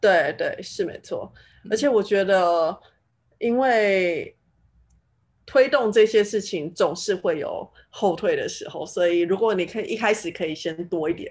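Against a quiet background, the speaker talks at a fairly slow pace in a Taiwanese accent. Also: woman, medium pitch for a woman, ordinary pitch variation. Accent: Taiwanese Mandarin. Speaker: finance professional in tech. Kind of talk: casual chat.

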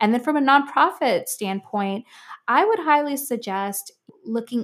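In an American accent, a plain, everyday voice moves at a fairly slow pace with ordinary pitch variation. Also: woman, very clean recording, silent background. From Miami, Florida. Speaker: music producer and nonprofit founder. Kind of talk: interview conversation.

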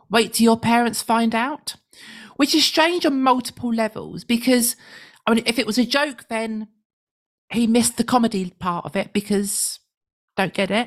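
A woman's fairly high voice with a British accent, at a moderate pace with long, frequent pauses. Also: ordinary pitch variation. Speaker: radio show co-host. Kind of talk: casual chat.

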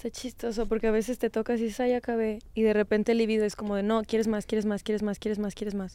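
Speaking very fast with hardly any pauses, a woman with a fairly high pitch and a dark, mellow tone keeps a flat monotone on a very clean recording with a silent background. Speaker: sex educator podcast host. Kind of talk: casual chat.

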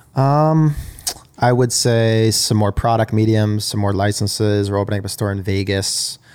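With an unremarkable speaking voice, a man talks at a moderate pace in a fairly low pitch and fairly even intonation. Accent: American. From Long Island, New York. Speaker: entrepreneur. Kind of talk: casual chat.

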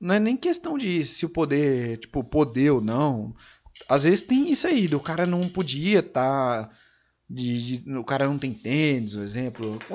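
This man has an ordinary speaking voice, fairly high in pitch, and he talks at a fairly slow pace with lively intonation. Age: 20s. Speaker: podcast host. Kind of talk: casual chat.

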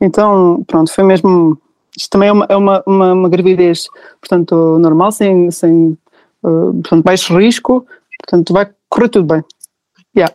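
The voice has a dark, mellow tone and fairly even intonation, with long, frequent pauses, in a dry, close sound with no echo. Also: woman, medium pitch for a woman, moderate pace. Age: 30s. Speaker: new mother sharing birth story. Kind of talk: testimony.

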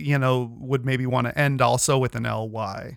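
Recorded very cleanly against a silent background, a man with a medium pitch uses a normal speaking voice with ordinary pitch variation. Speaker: podcast host. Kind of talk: casual chat.

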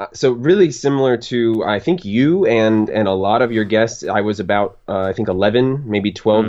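An ordinary speaking voice with an American accent moves at a moderate pace, with ordinary pitch variation and hardly any pauses. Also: man, medium pitch for a man. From Florida. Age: 20s. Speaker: podcast listener guest. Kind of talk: casual chat.

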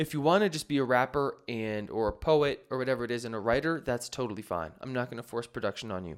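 In a very clean recording with a silent background, a man talks fairly quickly in an unremarkable speaking voice, medium in pitch with ordinary pitch variation. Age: 20s. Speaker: podcast host and music producer teaching beat making. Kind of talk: casual solo podcast talk answering listener questions. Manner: casual, with frequent fillers.

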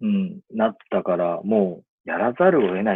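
Very wide pitch swings from a male speaker. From Japan, Ibaraki (Itako, rural). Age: 30s. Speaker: eyewear designer, brand founder. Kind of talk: casual interview chat.

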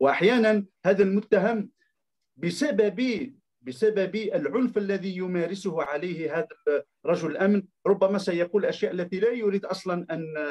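At a fairly slow pace, a man speaks in a high voice with ordinary pitch variation. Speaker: literature professor and critic. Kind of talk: lecture-style talk. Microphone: microphone problem.

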